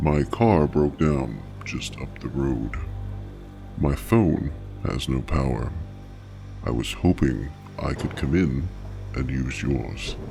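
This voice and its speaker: A man speaks at a fairly slow pace in a put-on character voice, with clear music playing in the background. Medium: read story. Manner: unnaturally even, quiet.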